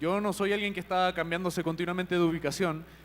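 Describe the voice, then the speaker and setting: A man speaks with a high pitch. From Chile. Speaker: company CEO, panel moderator. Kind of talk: panel discussion moderation.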